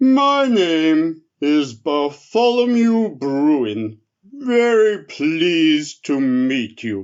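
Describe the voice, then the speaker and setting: A man's put-on character voice, fairly high, with very wide pitch swings at a very slow pace. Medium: read story. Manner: slow, drowsy, kindly.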